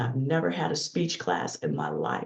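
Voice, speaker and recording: A woman speaks with vocal fry. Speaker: leadership coach and keynote speaker. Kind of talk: interview conversation.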